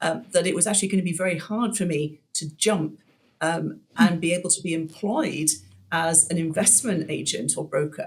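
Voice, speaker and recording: In a British accent, a woman speaks at a moderate pace and a fairly low pitch, slightly breathy, with ordinary pitch variation. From UK. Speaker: commercial real estate broker. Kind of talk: interview. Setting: podcast. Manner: hesitant, many fillers.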